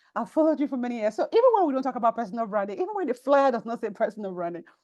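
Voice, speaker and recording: In a Nigerian accent, a woman with a fairly high pitch speaks in an animated tone against a quiet background. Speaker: personal branding coach. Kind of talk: online workshop webinar. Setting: online call, audio only. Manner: fast.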